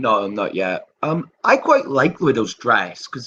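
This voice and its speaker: The speaker is a man. He talks with a Welsh accent. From Wales. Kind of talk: casual chat.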